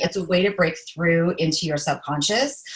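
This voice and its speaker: Animated and somewhat breathy, a woman speaks with a fairly low pitch. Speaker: empath life coach. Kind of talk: casual chat. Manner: fast.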